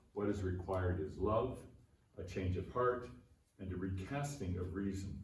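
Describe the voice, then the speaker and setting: With audible room echo, a man speaks at a moderate pace in a very deep, low voice with ordinary pitch variation and long, frequent pauses. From Canada. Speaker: philosophy professor. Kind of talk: conference keynote lecture. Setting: conference venue with aeroplane noise. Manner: formal.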